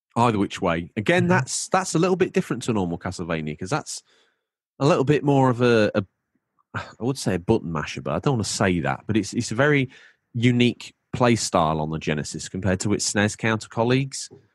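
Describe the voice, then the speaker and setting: A man with a British accent speaks at a very fast pace and a fairly low pitch with very wide pitch swings, the sound dry and close with no echo against a quiet background. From UK. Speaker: gaming podcast host. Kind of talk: casual chat.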